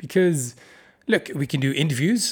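A man with a Dutch accent talks at a very fast pace. His pitch is fairly high. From Netherlands. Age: 40s. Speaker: podcast host. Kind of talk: solo podcast monologue.

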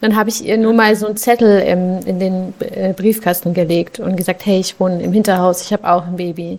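A woman talks at a moderate pace. Her medium pitch stays monotone and flat. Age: 20s. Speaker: social worker and mother of two. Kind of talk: casual interview. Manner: hesitant, many fillers.

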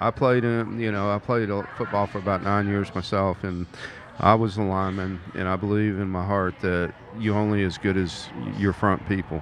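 Man with an American accent, fairly low in pitch, monotone and flat, at a moderate pace, over noticeable background noise. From US South, Mobile, Alabama. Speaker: sports fan co-commentator. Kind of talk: casual sports talk. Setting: live at a bar.

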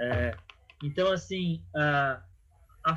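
A man's high-pitched voice. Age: 30s. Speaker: clown and NGO finance manager. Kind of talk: casual interview. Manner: halting.

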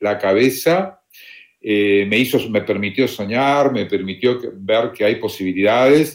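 A man speaking at a very slow pace, with lively intonation. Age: 60s. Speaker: retired volunteer traveler. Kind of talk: interview. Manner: halting, repeats words.

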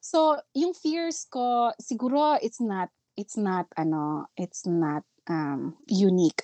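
Heard in a dry, close recording with no echo, a woman with a Filipino accent speaks at a medium pitch with very wide pitch swings. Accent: Filipino English, code-switching with Tagalog. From Philippines. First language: Filipino (Tagalog). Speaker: nurse educator and school director. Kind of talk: casual interview chat. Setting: online call.

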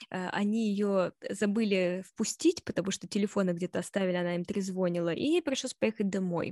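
A woman speaks at a fairly quick pace in an unremarkable speaking voice, her pitch medium. The sound is dry and close with no echo, and her intonation stays fairly even. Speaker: podcast co-host. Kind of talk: casual chat.

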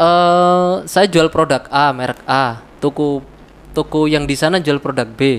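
The man's pitch is fairly high and varies in an ordinary way. He talks at a very slow pace. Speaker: podcast guest, trader. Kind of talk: casual chat. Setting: indoor room, heavy rain outside.

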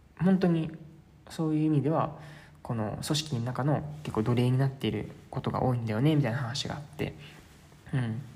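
In a room with audible echo, the somewhat breathy voice has a relaxed, dark, mellow tone and ordinary pitch variation, moving at a fairly quick pace broken by long, frequent pauses. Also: man, medium pitch for a man. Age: 20s. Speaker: travel podcaster. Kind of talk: casual solo monologue. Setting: staying at a host family's house in Sintra. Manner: filler-heavy, relaxed. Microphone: strong echo.

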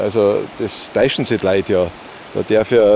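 Over noticeable background noise, a man with a Bavarian accent talks at a moderate pace. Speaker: whitewater kayaker and kayak instructor. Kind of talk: casual chat. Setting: outdoors by a stream.

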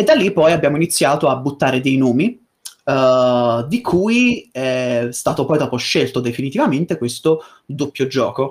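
A man with a normal speaking voice talks at a fairly high pitch and a fairly slow pace, with lively intonation. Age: 20s. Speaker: voice actor / YouTuber. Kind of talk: casual interview chat.

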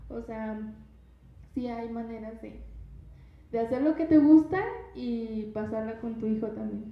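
Amid noticeable background noise and audible room echo, a woman with a fairly high pitch talks fairly slowly with long, frequent pauses, ordinary pitch variation and big swings in loudness. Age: 20s. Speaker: university student and mother. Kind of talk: testimony.

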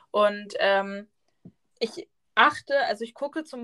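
Her voice bright and sharp in tone, a woman speaks in a fairly high pitch. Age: 20s. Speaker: podcast co-host, student teacher. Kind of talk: casual chat.

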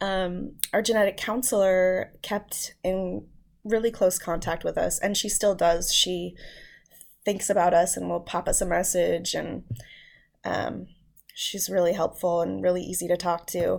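The recording is very clean with a silent background as a woman talks at a fairly slow pace. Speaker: parent of child with rare condition. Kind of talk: casual interview, personal story.

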